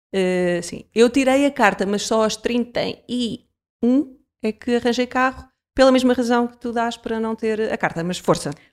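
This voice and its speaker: Fairly slow delivery in a plain, everyday voice, its pitch rising and falling in an ordinary way. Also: woman, fairly high pitch for a woman. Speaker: podcast host. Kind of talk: casual chat.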